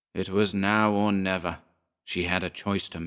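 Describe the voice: This is plain reading aloud against a quiet background.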